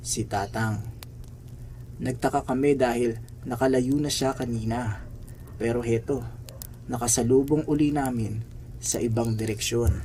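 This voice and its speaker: A man with a dark, mellow, somewhat breathy tone speaks at a medium pitch and a fairly slow pace. His intonation is fairly even, broken by long, frequent pauses. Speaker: horror story narrator. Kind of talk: ghost story telling, hushed spooky narration. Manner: slow, suspenseful, ominous; dramatic, building tension.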